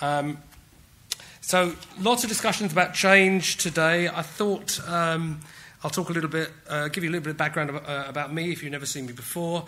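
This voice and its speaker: A British man with a high voice talks at a fairly quick pace with ordinary pitch variation. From England. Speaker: technology executive. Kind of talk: conference talk. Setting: stage with audience. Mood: light, self-deprecating humour. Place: hall. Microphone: podium.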